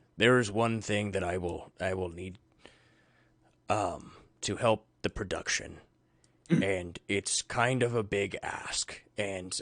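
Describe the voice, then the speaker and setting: A raspy put-on character voice from a man, fairly low in pitch with ordinary pitch variation, over a quiet background. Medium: actual play. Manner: earnest, persuasive.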